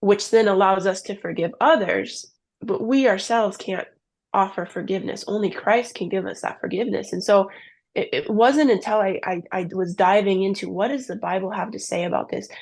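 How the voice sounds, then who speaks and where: A woman speaks fairly quickly at a medium pitch, with vocal fry. Her pitch varies in an ordinary way over a quiet background. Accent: Upper Midwest. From US Midwest, southern Minnesota. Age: 20s. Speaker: ministry founder sharing abortion testimony. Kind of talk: testimony.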